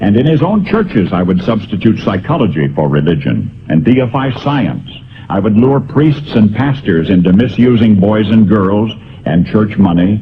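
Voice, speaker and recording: A man speaks at a moderate pace and a fairly low pitch, with lively intonation and very even loudness. Noticeable background noise is present. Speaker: radio broadcaster. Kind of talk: essay reading.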